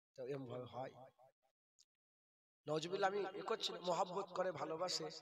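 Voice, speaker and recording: This man speaks with a high pitch. His pitch variation is ordinary. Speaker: Islamic preacher. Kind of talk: sermon.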